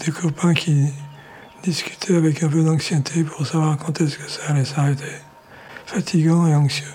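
Soft-spoken and fairly high-pitched, a man talks fairly slowly in a monotone, flat way with long, frequent pauses, noticeable background noise behind him. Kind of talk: interview.

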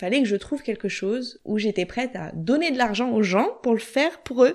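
Against a quiet background, a woman talks at a moderate pace in an ordinary speaking voice. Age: 30s. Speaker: entrepreneur in career change. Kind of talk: interview.

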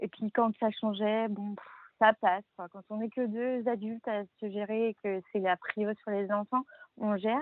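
A woman speaks at a fairly slow pace with monotone, flat intonation. Her pitch is fairly high. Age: 30s. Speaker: stepmother. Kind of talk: casual chat.

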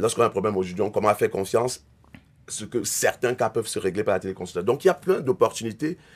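With lively intonation, a man speaks very fast. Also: medium pitch for a man. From Cameroon. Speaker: entrepreneur. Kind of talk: interview.

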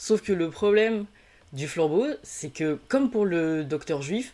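Speaking fairly slowly, a woman with a fairly low pitch and a dark, mellow tone uses lively intonation. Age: 30s. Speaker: podcaster guest. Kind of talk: casual chat.

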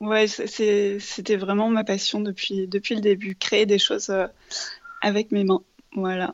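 Speaking at a very slow pace with long, frequent pauses, a woman holds a medium pitch in a monotone, flat intonation. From France, Paris. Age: 30s. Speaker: ceramic artist and entrepreneur. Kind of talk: interview, casual chat.

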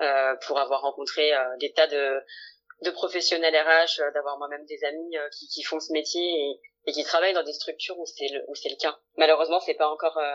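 Her pitch is very deep and low, with monotone, flat intonation. The woman keeps a moderate pace. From France, Lyon. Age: 20s. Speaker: career coach, former HR manager. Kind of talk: interview testimony. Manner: hesitant, many fillers.

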